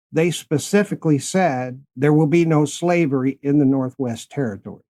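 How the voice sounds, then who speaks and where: A man with an American accent and a fairly high pitch, dark, mellow tone, moderate pace and very even loudness, in a dry, close sound with no echo. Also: ordinary pitch variation. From central Illinois, US Midwest. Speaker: podcast host. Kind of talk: podcast interview.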